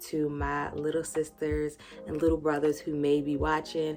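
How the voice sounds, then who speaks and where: A woman with an American accent and a very deep, low voice speaks at a moderate pace over noticeable background noise. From rural US. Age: 30s. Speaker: YouTuber. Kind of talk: casual vlog talk. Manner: conversational.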